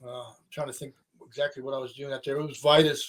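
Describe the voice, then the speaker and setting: The speaker has an American accent. The pace is very fast. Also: man. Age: 60s. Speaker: rock musician. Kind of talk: casual interview chat. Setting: podcast interview. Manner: animated.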